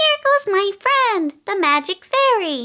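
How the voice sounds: A woman's put-on character voice, squeaky and extremely high, with very wide pitch swings, raised and projected, at a fairly slow pace.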